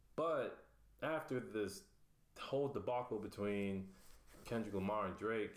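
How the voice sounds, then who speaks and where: Audible room echo accompanies a man with an American accent who speaks fairly slowly with ordinary pitch variation. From South Florida (Pahokee). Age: 20s. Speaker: self-published writer. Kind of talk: interview, casual. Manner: hesitant, many fillers.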